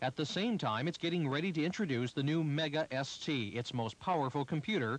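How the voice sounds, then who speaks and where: A plain, everyday voice from a man, fairly high in pitch, with lively intonation at a fairly quick pace. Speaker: news reporter. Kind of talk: 1980s TV news report, scripted. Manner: formal, brisk, polished broadcast delivery; even, authoritative, steady pacing.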